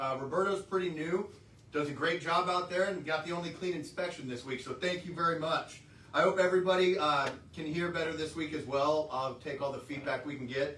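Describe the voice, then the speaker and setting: Loud and at a fairly quick pace, a man with a high pitch speaks in a fairly even intonation, with audible room echo and noticeable background noise. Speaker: trucking company safety staff. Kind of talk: workplace safety briefing.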